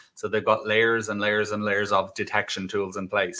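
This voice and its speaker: A man talks at a very fast pace. He has an Irish accent. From Ireland. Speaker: cybersecurity executive. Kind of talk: interview. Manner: hesitant fillers, conversational.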